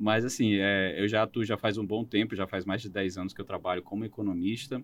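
The delivery comes at a fairly quick pace in a normal speaking voice. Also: man. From Roraima, northern Brazil. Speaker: economist. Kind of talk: interview.

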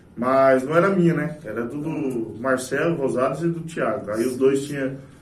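The man's voice comes with audible room echo. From Brazil, Itaporã (Mato Grosso do Sul). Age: 20s. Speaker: tobacco shop owner. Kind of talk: casual chat. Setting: studio.

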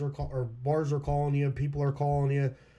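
A man with an American accent talks at a very fast pace in a somewhat breathy, dark and mellow tone, fairly high in pitch. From Schuylkill County, Pennsylvania. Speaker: musician. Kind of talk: casual chat.

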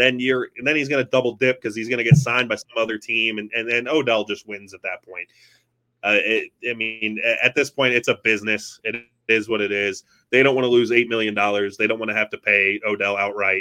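A man with an unremarkable speaking voice talks at a fairly quick pace, his medium pitch held in fairly even intonation. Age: 20s. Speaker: sports podcast host. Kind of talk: casual chat. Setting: live stream.

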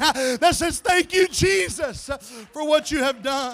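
Shouting over noticeable background noise, a man speaks in an extremely high pitch with an animated tone and lively intonation. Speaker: pastor. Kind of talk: sermon, preacher in full flow, shifting into fervent worship and praise. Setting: church. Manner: impassioned, rising to emotional, shouted exhortation, repeating "Jesus" and "hallelujah"; animated, urgent, calling the congregation to lift hands and voices.

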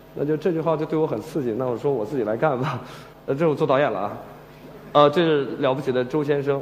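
Talking very fast in a room with audible echo, a man has a fairly high pitch and ordinary pitch variation. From Shandong, China. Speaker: screenwriter. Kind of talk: stage talk. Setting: stage with audience. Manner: hesitant, many fillers.

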